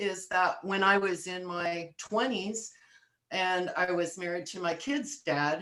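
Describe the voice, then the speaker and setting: This woman has an ordinary speaking voice, a fairly low pitch and ordinary pitch variation. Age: 60s. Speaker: wellness coach. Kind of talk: casual chat.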